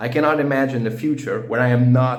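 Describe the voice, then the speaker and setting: A man with a Portuguese accent speaks at a moderate pace in a medium, somewhat breathy voice. His intonation is monotone and flat, with audible room echo. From Portugal. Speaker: language learning vlogger. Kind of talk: casual personal monologue. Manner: halting, many fillers and restarts.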